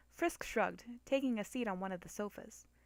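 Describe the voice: The speaker is doing plain reading aloud. Pitch varies in an ordinary way.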